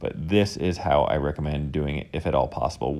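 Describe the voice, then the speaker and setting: A man's dark, mellow tone with vocal fry, on a very clean recording with a silent background. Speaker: woodworker and video maker. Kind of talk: tutorial voiceover. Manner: fast.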